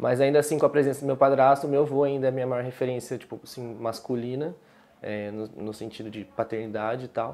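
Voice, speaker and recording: A man at a very fast pace, dark and mellow in tone, with big swings in loudness. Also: medium pitch for a man, fairly even intonation. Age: young. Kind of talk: interview answer.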